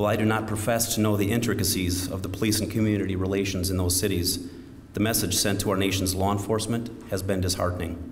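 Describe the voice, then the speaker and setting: Very fast and monotone, the delivery has flat intonation and very even loudness. Noticeable background noise is present. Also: man, fairly low pitch for a man. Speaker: county sheriff. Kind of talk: memorial service keynote speech.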